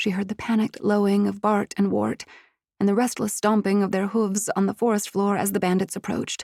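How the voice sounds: Quiet background behind a natural reading voice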